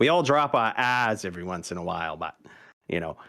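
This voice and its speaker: A man in a slight Maine accent, fairly quick in pace, with very wide pitch swings. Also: very clean recording, silent background. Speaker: streamer. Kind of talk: casual chat. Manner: animated.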